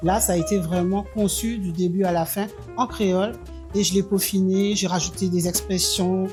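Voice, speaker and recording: Music plays behind a woman with a fairly low voice. She speaks at a moderate pace with fairly even intonation. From Martinique. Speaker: poet, novelist and storyteller. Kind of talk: interview answer. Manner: hesitant, many fillers.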